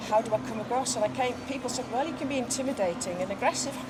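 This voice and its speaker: Over noticeable background noise and audible room echo, a woman speaks very fast at a high pitch with ordinary pitch variation. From England, Manchester. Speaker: horse business co-owner and former advertising executive. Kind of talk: casual interview. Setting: outdoors at horse show.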